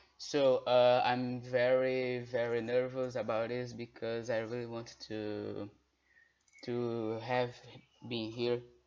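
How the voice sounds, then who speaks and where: A man at medium pitch with a Brazilian Portuguese accent, monotone and flat, at a very slow pace. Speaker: guest tutor. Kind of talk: tutorial. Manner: halting.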